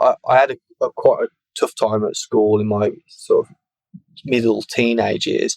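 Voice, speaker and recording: Long, frequent pauses break up this man's moderate pace. He speaks with a Birmingham accent, and the sound is dry and close with no echo. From England, Birmingham. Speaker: evidential medium and spiritualist minister. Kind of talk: interview, personal life story. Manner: halting, frequent repetitions.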